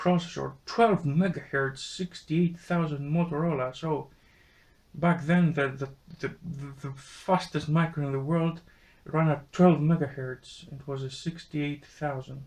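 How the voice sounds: A man speaks at a fairly slow pace in a fairly high pitch. His tone is slightly mellow and his intonation fairly even.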